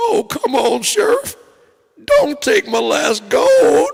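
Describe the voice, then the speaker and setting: A man's put-on character voice with a Southern accent, extremely high pitch and very slow pace. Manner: pleading, comic.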